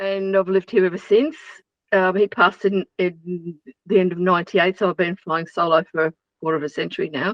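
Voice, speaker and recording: Speaking at a fairly quick pace, a woman with an Australian accent keeps her intonation fairly even. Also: medium pitch for a woman. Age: 70s. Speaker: interview guest. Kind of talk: interview, personal testimony. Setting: radio show.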